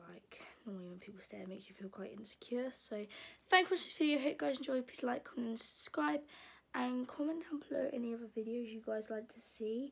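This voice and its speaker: At a very fast pace, a woman talks with lively intonation. Her voice is somewhat breathy. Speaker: vlogger. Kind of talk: casual vlog chat. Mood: embarrassed, giggly. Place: home room. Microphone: phone near.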